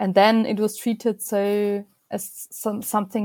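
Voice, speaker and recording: A woman with a German accent, medium pitch and a dark, mellow tone at a moderate pace, on a very clean recording with a silent background. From Austria, Vienna. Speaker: fashion designer and researcher. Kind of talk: interview.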